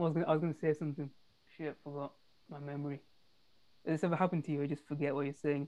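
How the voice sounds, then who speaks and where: Speaking very fast yet with long, frequent pauses, a woman with a British accent has a very deep, low pitch, a dark, mellow tone and monotone, flat intonation. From England. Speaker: podcast co-host. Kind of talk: casual chat. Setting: video call.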